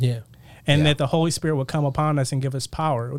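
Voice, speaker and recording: Fairly high in pitch, a man talks in a normal speaking voice with fairly even intonation. The recording is very clean, with a silent background. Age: 30s. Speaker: Bible college graduate, church leader. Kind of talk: casual chat.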